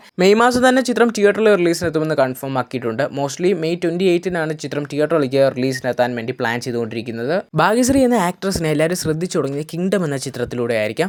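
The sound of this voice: Lively intonation carries the fast-paced speech, which has few pauses.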